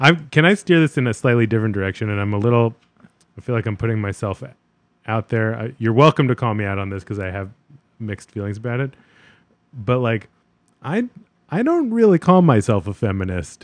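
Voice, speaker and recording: Talking at a fairly quick pace yet with long, frequent pauses, a man at medium pitch uses lively intonation. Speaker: podcast co-host, therapist. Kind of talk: casual chat.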